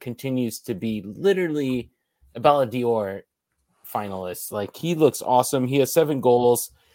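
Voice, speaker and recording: On a very clean recording with a silent background, a man speaks in a normal speaking voice. His pitch is medium and his intonation lively. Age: 30s. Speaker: soccer podcast co-host. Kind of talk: casual chat.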